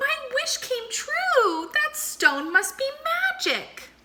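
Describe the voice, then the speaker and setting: In a put-on character voice, a woman squeaks at an extremely high pitch with very wide pitch swings. Her pace is very slow. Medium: read story.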